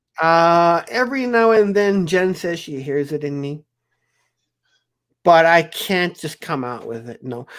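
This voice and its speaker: A man's high voice at a fairly slow pace, lively in intonation, with long, frequent pauses and big swings in loudness. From South Africa. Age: 40s. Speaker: live stream host. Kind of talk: casual chat. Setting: live stream video call from basement.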